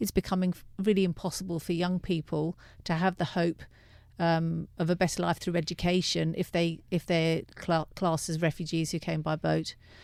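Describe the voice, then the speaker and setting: In a very clean recording with a silent background, a woman with an English accent speaks at a moderate pace in a fairly low pitch with monotone, flat intonation. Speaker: director of a refugee legal aid service. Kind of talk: radio interview. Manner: halting, many fillers.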